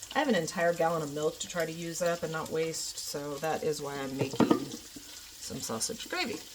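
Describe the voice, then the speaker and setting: At a moderate pace and with hardly any pauses, a woman speaks at a fairly low pitch over noticeable background noise. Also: ordinary pitch variation. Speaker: home cooking vlogger. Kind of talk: cooking tutorial. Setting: home kitchen. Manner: casual, chatty; loud.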